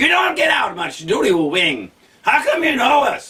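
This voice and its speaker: Shouting at a moderate pace in a put-on character voice, a man hits an extremely high pitch. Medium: read story.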